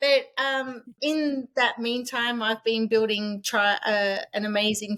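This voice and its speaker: A woman with an Australian accent and a fairly high voice speaks with fairly even intonation, the sound dry and close with no echo. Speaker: author and short-term rental host. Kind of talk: podcast interview. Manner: halting, many false starts.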